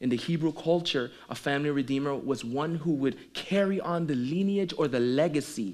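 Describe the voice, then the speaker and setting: With a Caribbean accent, a man talks at a moderate pace in a fairly high pitch, his pitch varying in an ordinary way amid audible room echo. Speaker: pastor. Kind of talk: sermon.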